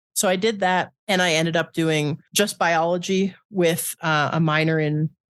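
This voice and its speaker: A woman uses a normal speaking voice, fairly low in pitch, at a fairly slow pace with fairly even intonation. Her loudness is very even, and the background is quiet. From Canada. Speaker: podcast co-host. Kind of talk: casual chat.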